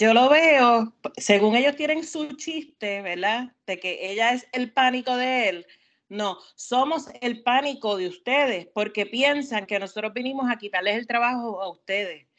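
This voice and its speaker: A woman talks at a fairly slow pace. Her high-pitched voice has ordinary pitch variation. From Puerto Rico. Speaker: podcast co-host. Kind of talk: casual chat.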